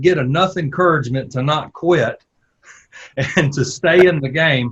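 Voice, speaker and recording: Speaking at a moderate pace with a Southern US accent, a man uses a fairly high pitch and ordinary pitch variation. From US South. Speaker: podcast host, former church planter. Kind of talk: interview.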